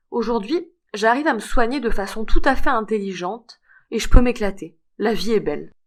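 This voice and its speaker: A woman with a fairly high voice and an unremarkable speaking voice talks at a moderate pace with lively intonation. The recording is very clean, with a silent background. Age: 60s. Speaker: fibromyalgia patient giving testimony. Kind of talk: testimony.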